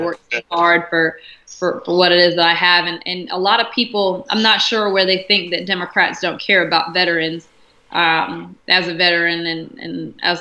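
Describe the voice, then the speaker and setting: A woman with an American accent uses a normal speaking voice. Her pace is moderate and her intonation fairly even. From South Carolina. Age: 20s. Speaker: congressional candidate and army veteran. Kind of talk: interview answer.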